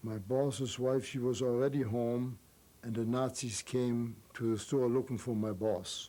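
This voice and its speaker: Dark and mellow in tone, a man speaks at medium pitch with fairly even intonation. His pace is very slow. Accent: German. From Germany. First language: German. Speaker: Holocaust survivor. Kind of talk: interview answer.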